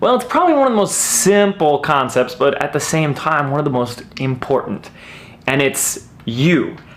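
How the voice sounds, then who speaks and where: Energetic in tone, a man speaks with a fairly high pitch. Noticeable background noise runs underneath. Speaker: video marketing coach. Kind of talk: tutorial. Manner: fast; loud, energetic.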